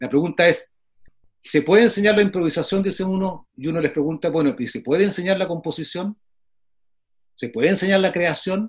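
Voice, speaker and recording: A man's high voice with ordinary pitch variation, fairly quick in pace yet broken by long, frequent pauses. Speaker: flutist and music professor. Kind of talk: casual interview. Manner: frequent filler phrases.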